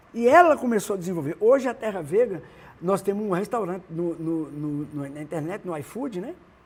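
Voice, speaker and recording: This man's high voice has lively intonation and big swings in loudness. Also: moderate pace. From Brazil, northern Minas Gerais (Montes Claros). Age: 70s. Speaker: singer-songwriter. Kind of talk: interview, casual chat. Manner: halting, many restarts.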